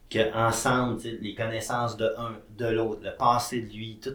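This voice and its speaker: The pace is very slow. It is a man's voice, pitched in the middle range. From Quebec, Saguenay-Lac-Saint-Jean. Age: 30s. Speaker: entrepreneur and TV host. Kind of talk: casual interview.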